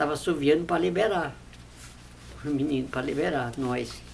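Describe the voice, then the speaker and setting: A woman's very deep, low voice with vocal fry, lively intonation and a moderate pace. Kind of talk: interview answer. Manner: simple, innocent storytelling.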